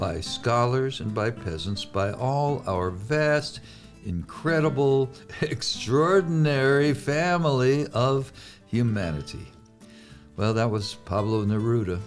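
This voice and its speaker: Lively intonation from a man at medium pitch, his pace very slow, with music in the background. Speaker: podcast host. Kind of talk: podcast introduction.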